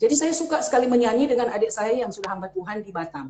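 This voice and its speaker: Her intonation is lively, and the woman's voice sits fairly high. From Manado, North Sulawesi, Indonesia. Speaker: pastor. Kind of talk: testimony. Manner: halting.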